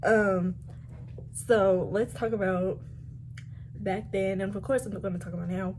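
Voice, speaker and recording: With an American accent and vocal fry, a woman talks at a moderate pace. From DC, Maryland, Virginia area. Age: 20s. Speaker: coffee blogger, content creator. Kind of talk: casual talk to camera.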